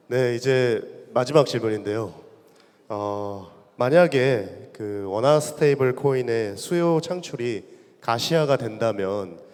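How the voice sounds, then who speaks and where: With a medium pitch and lively intonation, a man speaks at a very slow pace. His loudness swings widely. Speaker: panel moderator. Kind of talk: panel discussion. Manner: stumbling over pronunciation.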